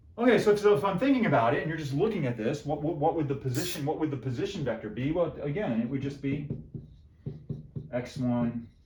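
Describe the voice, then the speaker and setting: A man with a fairly high pitch and lively intonation talks at a very fast pace, with audible room echo and noticeable background noise. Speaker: math professor. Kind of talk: lecture. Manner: animated.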